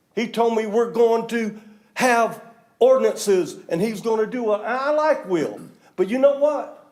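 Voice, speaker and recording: Loud and at a fairly slow pace, a man talks in an extremely high pitch with ordinary pitch variation. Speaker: public commenter at county meeting. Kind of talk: public comment. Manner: animated.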